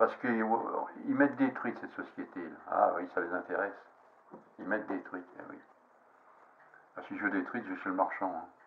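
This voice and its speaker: With noticeable background noise behind him, a man keeps a moderate pace. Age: 70s. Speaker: fly-tying hobbyist. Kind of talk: casual tutorial monologue. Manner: halting, many fillers.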